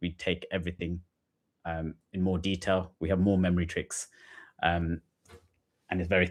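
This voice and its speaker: Speaking in a monotone with flat intonation, a man has a very deep, low pitch. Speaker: GCSE science tutor. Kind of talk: live-stream revision lesson. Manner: fast.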